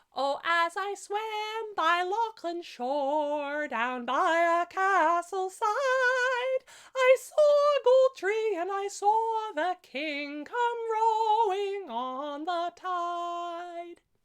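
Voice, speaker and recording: In a put-on character voice, a woman speaks at an extremely high, squeaky pitch. Her pace is very slow. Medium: solo performance. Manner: careful, hesitant.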